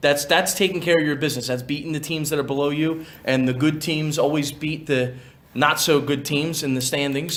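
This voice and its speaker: An unremarkable speaking voice moves with ordinary pitch variation. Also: man. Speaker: public address announcer. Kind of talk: casual sports analysis for an intermission show.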